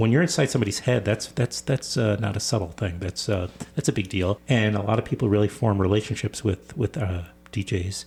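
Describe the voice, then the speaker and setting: Somewhat breathy and fairly low-pitched, a man speaks at a fairly quick pace with ordinary pitch variation. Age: 60s. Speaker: radio host. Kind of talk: interview. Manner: halting, with repetitions.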